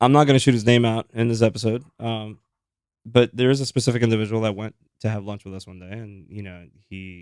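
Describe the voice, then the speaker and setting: At a fairly quick pace, a man speaks in an ordinary speaking voice with a medium pitch, fairly even intonation, and big swings in loudness. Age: 30s. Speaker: podcast co-host. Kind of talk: casual chat.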